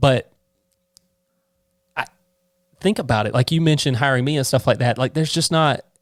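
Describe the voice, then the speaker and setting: A man with a Southern US accent, fairly high in pitch, at a fairly quick pace broken by long, frequent pauses. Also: ordinary pitch variation. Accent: Southern US twang. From US South, Georgia (near Savannah). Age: 20s. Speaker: accountant, firm owner. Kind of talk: casual podcast interview.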